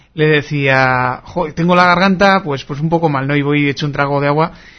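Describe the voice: A man speaks at a fairly high pitch and a fairly quick pace. His intonation stays fairly even.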